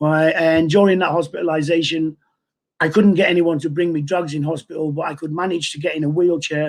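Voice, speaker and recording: Speaking in a Mancunian accent, a man talks at a fairly quick pace with fairly even intonation and a fairly high pitch. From northern England, Manchester. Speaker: person in recovery from addiction. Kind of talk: testimony. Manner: halting, many repeated words.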